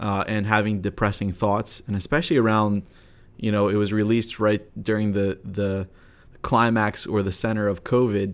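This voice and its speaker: A man's plain, everyday voice with an American accent, fairly low pitch and moderate pace, on a very clean recording with a silent background. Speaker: software engineer and podcast co-host. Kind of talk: casual interview. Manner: frequent filler words.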